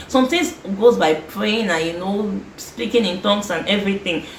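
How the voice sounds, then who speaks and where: Lively intonation marks this woman's fairly quick speech. Noticeable background noise and audible room echo surround her voice. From Nigeria. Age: 20s. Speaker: lifestyle vlogger. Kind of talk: advice monologue vlog. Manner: fast; animated.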